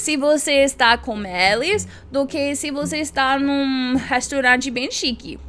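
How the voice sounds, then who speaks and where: An animated woman in an English accent, with a fairly slow pace and ordinary pitch variation. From United States. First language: English (speaking Portuguese). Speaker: YouTuber. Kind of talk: casual vlog talk.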